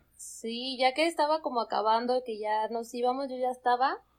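High-pitched woman's voice on a very clean recording with a silent background. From Mexico, Zamora, Michoacán. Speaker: podcast guest, traveler. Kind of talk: casual chat.

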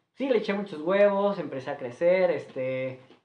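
Fairly slow and with a Mexican accent, a man's voice comes through with audible room echo. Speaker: restaurant manager. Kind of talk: casual chat.

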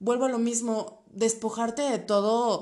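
A woman with a central Mexican accent speaks in an animated tone at a high pitch, with audible room echo. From central Mexico, State of Mexico. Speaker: podcast host, travel agency. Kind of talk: casual solo podcast talk.

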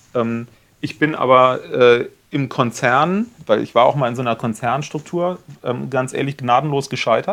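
A man talks in a normal speaking voice. His pitch variation is ordinary. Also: medium pitch for a man, moderate pace. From Rhineland (Cologne area), Germany. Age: 40s. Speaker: media agency owner. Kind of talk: casual interview.

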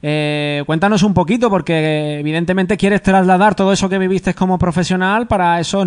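A high-pitched man's voice with ordinary pitch variation. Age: 30s. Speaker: sports radio host. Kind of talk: radio interview.

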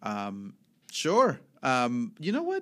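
On a very clean recording with a silent background, a man speaks with a Spanish accent. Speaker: podcast host. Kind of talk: casual chat. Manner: animated.

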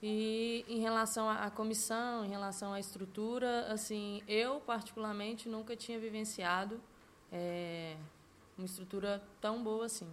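Audible room echo surrounds a woman speaking slowly-ish, at a fairly slow pace, her fairly high pitch delivered in a monotone, flat intonation. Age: 20s. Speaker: footballer. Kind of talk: interview. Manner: halting.

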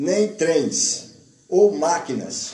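With noticeable background noise and audible room echo, a man speaks at a very slow pace. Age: 50s. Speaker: radio host. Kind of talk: reading aloud; casual chat.

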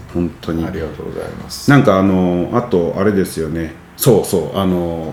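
With audible room echo and noticeable background noise, a man talks at a moderate pace in a very deep, low pitch with ordinary pitch variation. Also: big swings in loudness. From Nagoya, Japan. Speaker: podcast host. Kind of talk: casual interview chat.

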